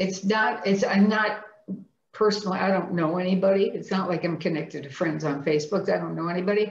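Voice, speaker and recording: A woman at medium pitch has a plain, everyday voice with ordinary pitch variation. Her pace is fairly quick. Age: 60s. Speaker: person living with multiple sclerosis. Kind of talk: interview answer.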